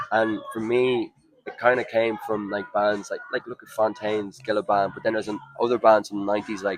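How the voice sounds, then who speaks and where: With noticeable background noise behind him, a man talks fairly quickly at a fairly low pitch in a flat monotone, his loudness swinging widely. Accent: Irish. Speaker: rock band singer. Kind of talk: interview.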